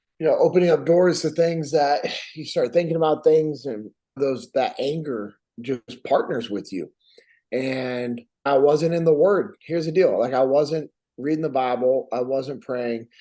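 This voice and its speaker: A man with an American accent, a dark, mellow tone, fairly high pitch and ordinary pitch variation. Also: moderate pace. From Sacramento, California. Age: 40s. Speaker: war veteran. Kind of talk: podcast interview.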